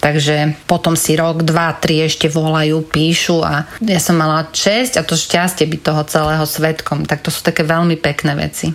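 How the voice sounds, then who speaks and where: Against noticeable background noise, a woman with a very deep, low pitch speaks in a monotone, flat intonation. She keeps a moderate pace with hardly any pauses. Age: 40s. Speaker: former charity marketing head. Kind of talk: interview.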